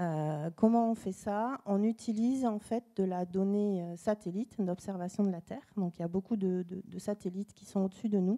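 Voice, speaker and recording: In a Toulouse accent, a woman speaks at a medium pitch with a dark, mellow tone and fairly even intonation. Her pace is moderate with hardly any pauses, in a dry, close sound with no echo. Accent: southern French (Toulouse). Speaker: tourism data company representative. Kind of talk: panel presentation. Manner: hesitant, many fillers.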